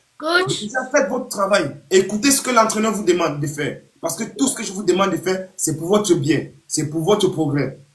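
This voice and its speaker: Loud and high-pitched, a man speaks at a fairly quick pace with lively intonation and hardly any pauses. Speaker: youth football coach. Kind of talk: live stream pep talk to young players. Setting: online live video stream.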